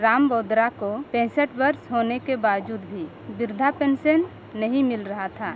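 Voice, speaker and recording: Over noticeable background noise, a woman speaks in a high pitch with ordinary pitch variation and hardly any pauses. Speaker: community reporter. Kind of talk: field report and interview.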